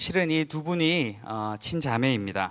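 Lively intonation from a man with a fairly high pitch, on a very clean recording with a silent background. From Daegu, South Korea. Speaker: concert emcee. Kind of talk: event emceeing. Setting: stage with audience.

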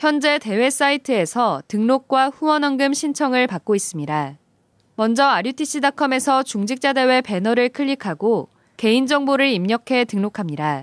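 Against a quiet background and with a dry, close sound with no echo, a woman speaks at a high pitch with lively intonation. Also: moderate pace. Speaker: news anchor. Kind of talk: news reading. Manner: formal.

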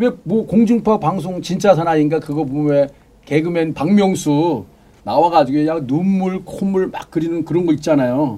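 At a moderate pace, a man talks with ordinary pitch variation. His pitch is high. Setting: studio. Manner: animated.

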